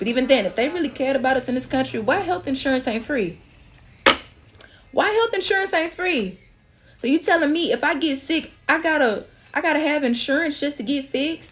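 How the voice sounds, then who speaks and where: Through noticeable background noise, a woman speaks at a fairly quick pace. Her pitch is high and swings very widely. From Alabama. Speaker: spiritual reader. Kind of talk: livestream reading. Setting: TikTok live stream. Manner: casual, repetitive.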